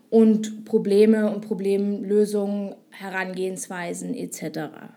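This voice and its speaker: A woman speaks at a medium pitch in a dark, mellow tone. Her pace is very slow and her intonation fairly even. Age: 20s. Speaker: podcaster and ad agency owner. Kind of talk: solo podcast monologue. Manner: hesitant, many fillers.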